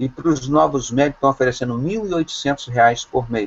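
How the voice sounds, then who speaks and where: Speaking at medium pitch and a moderate pace, a man uses lively intonation. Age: 60s. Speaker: doctor and evangelical preacher. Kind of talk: preaching in an online video call. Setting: video call. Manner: impassioned, denunciatory.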